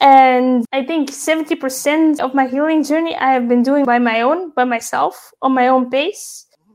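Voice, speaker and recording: Speaking at a fairly slow pace with hardly any pauses, a woman uses a high pitch. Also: ordinary pitch variation. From Belgium. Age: 30s. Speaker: mental health advocate. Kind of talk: interview.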